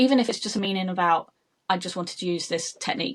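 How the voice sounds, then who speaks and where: With a British accent, a woman speaks at a fairly low pitch and lively intonation. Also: very clean recording, silent background. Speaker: makeup artist. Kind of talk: interview.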